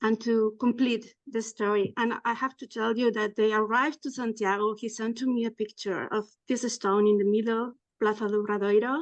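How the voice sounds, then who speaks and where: A woman speaks at a moderate pace, her fairly high pitch carried with fairly even intonation. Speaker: pilgrim, community member. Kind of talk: personal story in group video session. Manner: halting.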